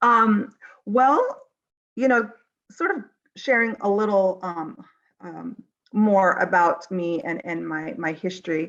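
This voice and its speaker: Against a quiet background, a woman with a Navajo Nation accent speaks at a very slow pace with lively intonation. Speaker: mental health consultant. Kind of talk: panel discussion. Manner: halting, many fillers.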